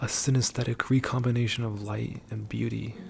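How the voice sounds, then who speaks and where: Soft-spoken and monotone, a man delivers flat intonation at a medium pitch and a moderate pace. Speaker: ASMR creator. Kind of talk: ASMR soft-spoken poetic monologue.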